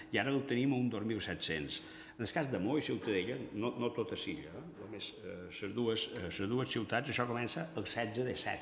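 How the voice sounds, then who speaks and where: Over light background noise and audible room echo, a man speaks fairly slowly with ordinary pitch variation. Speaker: university geography researcher. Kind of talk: press conference presentation. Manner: halting, many fillers. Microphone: podium.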